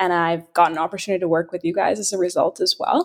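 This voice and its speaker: A woman speaks at a medium pitch in an unremarkable speaking voice with fairly even intonation. The recording is very clean, with a silent background. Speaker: podcast co-host, offering manager. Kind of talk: casual interview.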